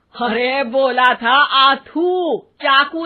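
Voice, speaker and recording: A woman's mumbling, high-pitched put-on character voice. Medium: cartoon. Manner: bossy, stubborn.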